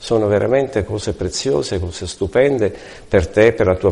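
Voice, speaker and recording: At a moderate pace, a man speaks at a fairly low pitch in a dark, mellow, somewhat breathy tone with ordinary pitch variation. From Italy. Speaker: retired hairdresser turned direct-sales distributor. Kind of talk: testimony. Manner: halting.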